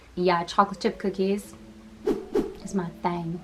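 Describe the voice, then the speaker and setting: A woman speaks in a flat monotone over noticeable background noise. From Massachusetts, US (Boston area). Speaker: content creator. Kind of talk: casual Q&A vlog. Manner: casual, chatty.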